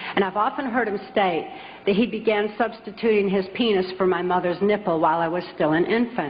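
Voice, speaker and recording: Noticeable background noise runs under the recording. The speaker has an American accent and a fairly quick pace. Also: woman, medium pitch for a woman, ordinary pitch variation. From US Midwest, Michigan. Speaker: author and public speaker. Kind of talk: public talk.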